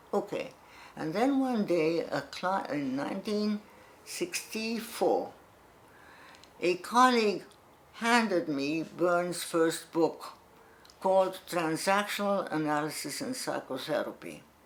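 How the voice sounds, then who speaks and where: A woman talks at a very slow pace with lively intonation and long, frequent pauses. Audible room echo fills the recording. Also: medium pitch for a woman. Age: 80s+. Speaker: psychotherapist. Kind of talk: lecture.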